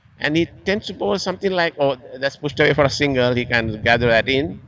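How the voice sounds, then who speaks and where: Noticeable background noise beneath a man's speech with lively intonation. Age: 70s. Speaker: cricket commentator. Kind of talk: live commentary.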